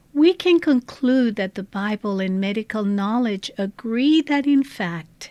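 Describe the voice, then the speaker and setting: A woman speaks at a very slow pace in a dark, mellow tone with a fairly high pitch. Her pitch swings very widely, and the recording is very clean with a silent background. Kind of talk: devotional talk. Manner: soft-spoken.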